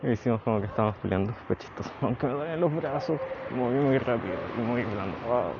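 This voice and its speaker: Noticeable background noise sits behind a man talking at a fairly quick pace. His pitch is medium, with ordinary variation. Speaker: personal diarist. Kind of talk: personal audio diary. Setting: outdoors, walking home.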